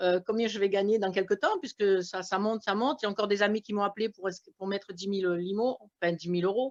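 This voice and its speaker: Very fast speech with fairly even intonation, dry and close with no echo. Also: woman, medium pitch for a woman. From France. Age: 60s. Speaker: retired shopkeeper, investor. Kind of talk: testimony.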